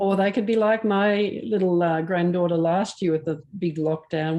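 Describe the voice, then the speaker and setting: At a moderate pace, a woman speaks against a quiet background, her dark, mellow tone pitched fairly low with fairly even intonation. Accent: Australian. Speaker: camera club meeting chair. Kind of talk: casual chat. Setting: video call.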